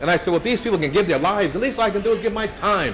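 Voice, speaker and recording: Over noticeable background noise, a man with an American accent talks at a very fast pace and a high pitch. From New Jersey. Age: 70s. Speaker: state politician and civil rights activist. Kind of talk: speech to an audience. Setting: brunch event with audience. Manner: conversational, with many fillers and repetitions.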